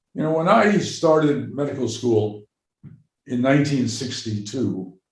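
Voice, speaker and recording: The voice has an American accent and sounds somewhat breathy. It moves at a moderate pace with lively intonation. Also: man. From New York. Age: 80s+. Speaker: psychiatrist and medical anthropologist. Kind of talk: interview.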